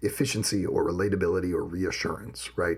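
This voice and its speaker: The man's voice sits at a very deep, low pitch. It sounds somewhat breathy. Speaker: podcast co-host. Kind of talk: casual podcast discussion.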